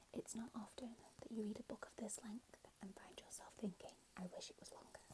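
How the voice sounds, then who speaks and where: Whispering at a fairly quick pace. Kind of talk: ASMR book talk and reading, whispered to camera. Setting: lo-fi home mic setup, poor audio quality. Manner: soft-spoken, whispering.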